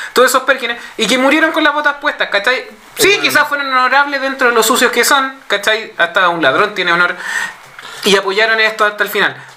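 Over noticeable background noise, a man with a Chilean accent uses a raised, projected voice at an extremely high pitch, talking fairly quickly with lively intonation and very even loudness. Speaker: podcast panelist. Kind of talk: casual chat.

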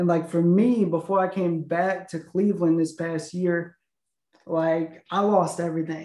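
A man's high voice with a dark, mellow tone, monotone flat intonation and an American accent. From US Midwest (northern Illinois). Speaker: podcast co-host. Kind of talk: casual interview chat.

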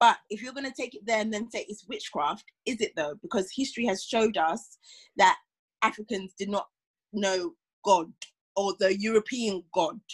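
In a dry, close recording with no echo, a woman with a fairly high, somewhat breathy voice speaks at a moderate pace with lively intonation and long, frequent pauses. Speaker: podcast co-host. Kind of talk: casual chat.

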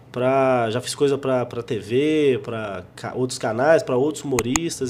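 A man is heard over noticeable background noise. His loudness swings widely. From Brazil, Minas Gerais (João Monlevade). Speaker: stand-up comedian. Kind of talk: casual interview. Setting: studio.

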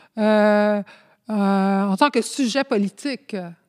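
A woman with a Spanish accent speaks at a very slow pace. Her voice is fairly high, with ordinary pitch variation. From Montreal, Quebec, Spanish immigrant community. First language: Spanish (speaking French). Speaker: community activist and sociology student. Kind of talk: interview. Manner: halting, many hesitations.

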